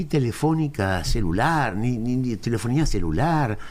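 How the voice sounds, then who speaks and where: A man at a fairly slow pace. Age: 70s. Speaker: historian. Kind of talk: interview.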